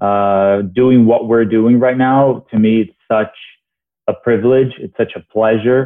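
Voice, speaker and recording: A man with a Portuguese accent, medium pitch, fairly even intonation and a fairly slow pace. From Brazil (Rio). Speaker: TV host and journalist. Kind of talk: casual interview chat.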